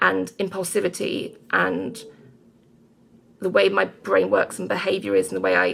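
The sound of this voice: The voice moves at a moderate pace with big pitch swings. Its fairly bright tone carries a slightly husky edge and vocal fry. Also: woman, fairly low pitch for a woman.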